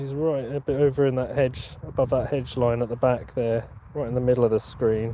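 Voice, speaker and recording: With a Norfolk accent, a man at medium pitch talks at a fairly quick pace over noticeable background noise. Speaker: metal detecting YouTuber. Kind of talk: live stream chat. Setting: outdoors in a field. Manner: casual, chatty.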